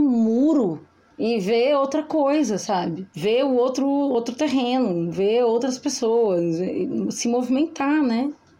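A woman's high-pitched voice at a fairly slow pace, with noticeable background noise. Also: very even loudness. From interior of Brazil. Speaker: podcast co-host. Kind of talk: casual chat.

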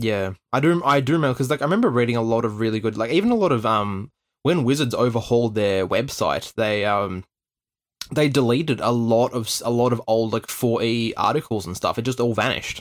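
Man with an Australian accent, medium pitch, ordinary pitch variation, and a fairly quick pace. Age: 20s. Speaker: podcast host and game master. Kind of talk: casual chat.

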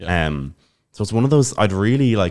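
A man speaks with a Dublin accent at a moderate pace, his intonation lively. The recording is very clean with a silent background. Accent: Irish, Dublin. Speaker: podcast co-host, language learner. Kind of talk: casual chat.

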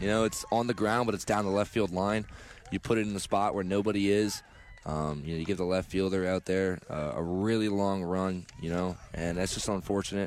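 Fairly low-pitched man with an American accent and relaxed tone, speaking at a fairly quick pace over noticeable background noise. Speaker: color commentator. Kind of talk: live sports commentary, analyzing pitches and plays as color analyst. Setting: radio broadcast booth. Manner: conversational, analytical, relaxed.

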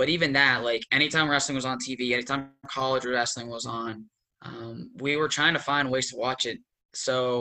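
A man with an American accent, medium pitch and a bright, sharp tone, fairly even intonation, moderate pace, quiet background. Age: 20s. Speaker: former college wrestler. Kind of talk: casual interview.

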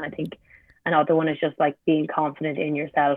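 A woman in an Irish accent speaks fairly quickly. Her voice is very deep and low, with monotone, flat intonation. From Ireland, Limerick. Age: 20s. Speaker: sprinter and university student. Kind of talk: casual interview.

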